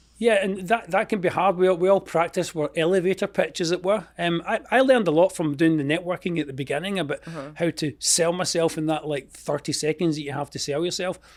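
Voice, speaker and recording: In a Scottish accent, a man with a high pitch speaks at a very fast pace with hardly any pauses and ordinary pitch variation. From Scotland. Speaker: entrepreneur, expense reduction consultant. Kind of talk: interview answer.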